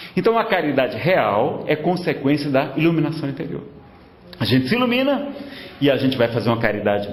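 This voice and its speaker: Noticeable background noise and audible room echo around a man's moderately paced, fairly high voice. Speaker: spiritist lecturer. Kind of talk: lecture. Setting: spiritist centre with audience.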